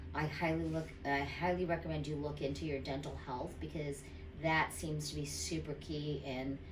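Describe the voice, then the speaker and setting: The speech runs at a moderate pace against noticeable background noise. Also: woman. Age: 50s. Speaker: dental patient. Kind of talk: patient testimonial. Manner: casual, hesitant.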